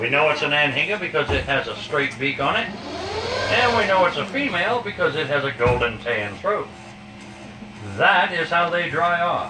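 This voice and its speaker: With lively intonation and long, frequent pauses, a man talks at a moderate pace over noticeable background noise. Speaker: boat tour guide. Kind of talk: tour guide narration. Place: boat.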